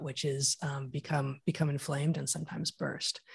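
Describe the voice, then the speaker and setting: On a very clean recording with a silent background, a woman speaks. She sounds somewhat breathy and keeps a moderate pace. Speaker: evolutionary biologist and author. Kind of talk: interview conversation.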